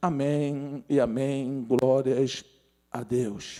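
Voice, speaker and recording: This man speaks at a fairly high pitch. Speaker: pastor. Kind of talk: sermon. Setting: church livestream.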